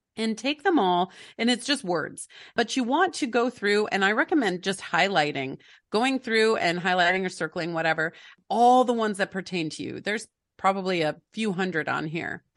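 An ordinary speaking voice from a woman, medium in pitch, with lively intonation at a moderate pace against a quiet background. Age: 40s. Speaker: family life coach and author. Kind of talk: interview.

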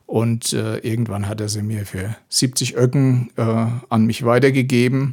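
The speech runs at a fairly slow pace with hardly any pauses. Its intonation stays fairly even. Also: man, medium pitch for a man. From Palatinate, Germany (Ellerstadt). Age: 60s. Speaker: blues musician and music teacher. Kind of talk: casual interview. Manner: hesitant, many filler sounds.

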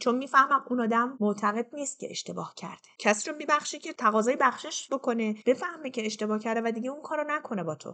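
Talking very fast, a woman with a high, bright, sharp voice swings her pitch very widely. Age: 40s. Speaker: storyteller sharing personal trauma. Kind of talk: personal testimony.

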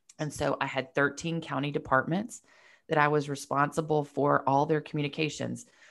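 A woman speaks at a fairly quick pace with a very deep, low pitch and vocal fry. Her intonation is monotone and flat, and the recording is very clean with a silent background. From Georgia, US (Marietta, north of Atlanta). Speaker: publicist and entrepreneur. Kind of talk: casual interview.

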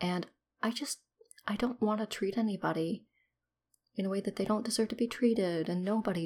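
Speaking at a very fast pace, a somewhat breathy woman varies her pitch in an ordinary way and her loudness in big swings, in a very clean recording with a silent background. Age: 30s. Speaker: podcaster sharing personal ADHD journey. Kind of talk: personal solo monologue. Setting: at home.

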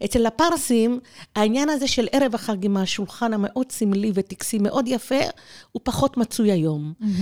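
A woman with an unremarkable speaking voice talks at a moderate pace, her fairly high pitch carrying lively intonation in a dry, close sound with no echo. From Israel (born in Tehran, immigrated at age 4). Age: 60s. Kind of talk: interview.

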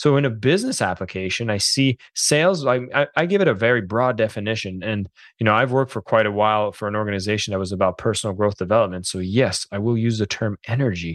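Against a quiet background, with a dry, close sound and no echo, a man in an ordinary speaking voice talks at a fairly quick pace with a fairly low pitch and ordinary pitch variation. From Quebec / French Canada. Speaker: author and sales coach. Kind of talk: interview.

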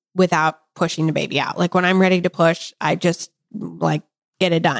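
Talking at a moderate pace, a woman has an unremarkable speaking voice at medium pitch. The recording is very clean, with a silent background. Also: dry, close sound with no echo. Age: 40s. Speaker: podcast host. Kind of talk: casual chat.

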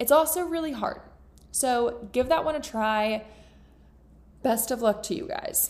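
In an American accent, a high-voiced woman speaks in an animated tone at a fairly slow pace, with ordinary pitch variation and long, frequent pauses. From Florida. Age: 20s. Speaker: podcast host. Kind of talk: casual chat.

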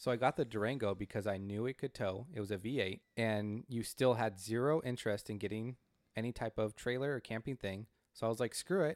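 A man with a plain, everyday voice and an American accent speaks at medium pitch and a fairly quick pace with ordinary pitch variation, in a very clean, dry, close recording with no echo and a silent background. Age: 30s. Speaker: podcast co-host. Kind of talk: casual chat.

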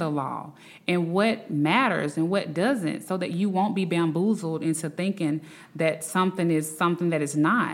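In a Southern US accent, a woman speaks at a moderate pace in a fairly low pitch with ordinary pitch variation. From Alabama, Birmingham. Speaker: attorney. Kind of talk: interview. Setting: remote from Washington, D C.

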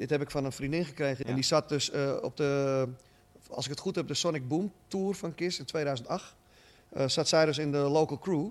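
This very clean recording with a silent background features a man in an ordinary speaking voice at a fairly high pitch, with ordinary pitch variation. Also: moderate pace. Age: 50s. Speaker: shop owner and rock fan. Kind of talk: interview.

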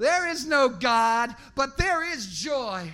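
The voice is raised and projected, with a bright, sharp tone. Its intonation is lively. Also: man. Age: 50s. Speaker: slam poet. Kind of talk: poetry performance. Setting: bar stage with audience.

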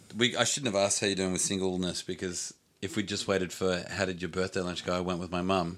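In a very clean recording with a silent background, a man with an Australian accent speaks very fast in a very deep, low, monotone voice. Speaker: sports podcast host. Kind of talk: casual chat.

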